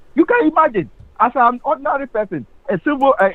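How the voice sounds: Speaking at a fast pace, a man moves through big pitch swings.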